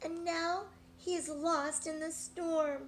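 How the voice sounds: Audible room echo surrounds a put-on character voice delivered at a slow pace with fairly even intonation. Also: woman, extremely high pitch for a woman.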